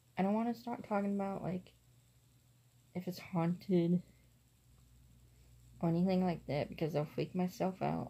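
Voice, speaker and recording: A soft-spoken, somewhat breathy woman's voice, fairly low in pitch, with a dark, mellow tone, ordinary pitch variation, a moderate pace and long, frequent pauses. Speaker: vlogger. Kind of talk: casual vlog. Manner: quiet, soft-spoken.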